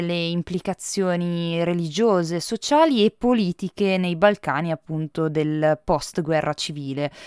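In an ordinary speaking voice, a woman at medium pitch talks at a fairly slow pace, the sound dry and close with no echo on a very clean recording against a silent background. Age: 20s. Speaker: film critic. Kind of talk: podcast film review monologue.

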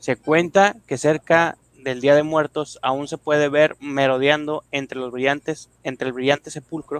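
A plain, everyday voice from a man at a fairly high pitch, fairly slow in pace with hardly any pauses and fairly even intonation. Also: dry, close sound with no echo. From Mexico, Monterrey area. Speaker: podcast co-host. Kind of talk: scripted narration.

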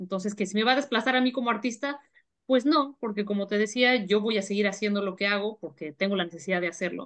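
A woman rattles along at a very fast pace, her pitch varying in an ordinary way, with a quiet background. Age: 40s. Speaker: writer and editorial advisor. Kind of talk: interview.

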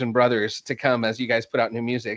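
An enthusiastic man with an American accent, medium pitch and fairly quick pace, over a quiet background. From Texas, Dallas suburbs. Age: 30s. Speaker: podcast host and school librarian. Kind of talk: casual interview chat. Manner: halting.

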